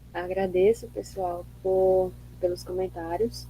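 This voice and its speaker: With a strong northeastern Brazilian accent, a woman speaks at a very slow pace. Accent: strong drawling northeastern Brazilian. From Northeast Brazil. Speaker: seminar presenter, education researcher. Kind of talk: academic discussion. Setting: video call.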